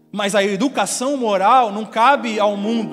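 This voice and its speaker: Music plays behind a man speaking at a moderate pace. His pitch is high, with ordinary variation. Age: young. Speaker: pastor. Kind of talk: sermon.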